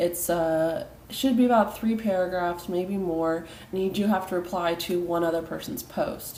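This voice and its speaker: A woman's medium-pitched voice with a dark, mellow tone, ordinary pitch variation and a moderate pace, in audible room echo. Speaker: college instructor. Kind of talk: recorded online lecture. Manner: hesitant, many fillers.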